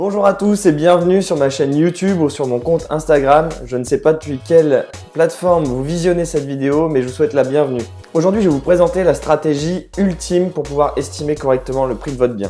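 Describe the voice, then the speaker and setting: Over music in the background, a man talks at a fairly quick pace. His pitch is fairly high, with ordinary pitch variation. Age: 20s. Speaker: real estate agent. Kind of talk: tutorial.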